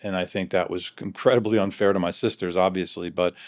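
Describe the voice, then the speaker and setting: A man speaks with a very deep, low pitch and monotone, flat intonation at a fairly quick pace. The recording is very clean, with a silent background. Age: 60s. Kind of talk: interview answer.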